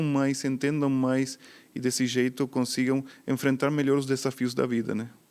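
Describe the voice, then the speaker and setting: A man of medium pitch with an Argentine accent at a moderate pace, on a very clean recording with a silent background. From Argentina. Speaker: psychiatrist. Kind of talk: interview.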